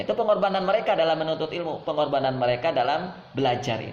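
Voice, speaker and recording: Amid audible room echo and noticeable background noise, a man with a fairly high pitch races at a very fast pace with lively intonation. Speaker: Islamic preacher. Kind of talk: religious lecture.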